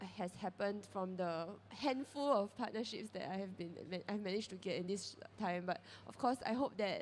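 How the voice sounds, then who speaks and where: With a Singaporean accent, a woman speaks at a moderate pace. Her voice sits at a medium pitch. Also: ordinary pitch variation. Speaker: character brand founder. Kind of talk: panel discussion.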